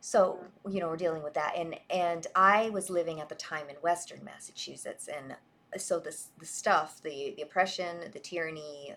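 A woman with a normal speaking voice, fairly low pitch and a moderate pace. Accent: American. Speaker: online show host. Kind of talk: moderated online discussion. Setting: online audio space.

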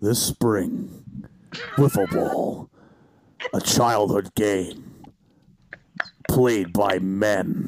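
Using a put-on character voice, a man speaks at a very slow pace and a fairly low pitch, with fairly even intonation and long, frequent pauses. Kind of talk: announcer.

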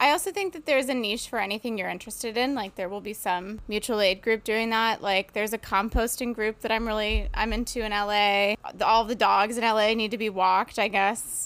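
This is a plain, everyday voice with an American accent. It moves at a fairly quick pace, with hardly any pauses and fairly even intonation. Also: woman, fairly high pitch for a woman. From upstate New York. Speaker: comedian and soup kitchen organizer. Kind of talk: casual chat. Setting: video call.

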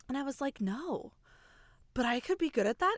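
A woman uses an ordinary speaking voice, moving along at a fairly quick speed with ordinary pitch variation. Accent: American. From US Midwest. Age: 30s. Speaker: podcast host and show choir teacher. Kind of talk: casual interview chat. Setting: recording in her closet.

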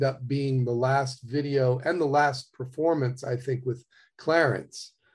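A man speaks at a moderate pace in a somewhat breathy, medium-pitched voice with flat, monotone intonation. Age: 60s. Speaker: touring trumpet player. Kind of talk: casual interview conversation.

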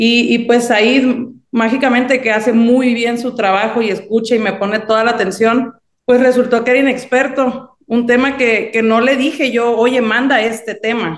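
A plain, everyday voice from a woman at a moderate pace. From Mexico, Sinaloa. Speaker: songwriter. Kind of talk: interview.

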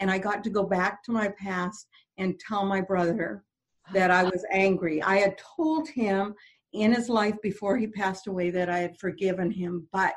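Speaking at a moderate pace, a woman uses an ordinary speaking voice of medium pitch with ordinary pitch variation. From French Canadian background. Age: 60s. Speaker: motivational speaker and radio host. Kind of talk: interview; personal testimony.

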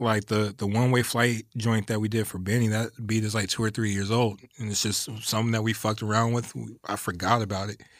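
Speaking in an American accent, a man with a fairly low pitch talks at a fairly quick pace in a monotone, flat intonation. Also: hardly any pauses, very clean recording, silent background. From Los Angeles area, West Covina. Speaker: music producer. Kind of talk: casual interview. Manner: quiet.

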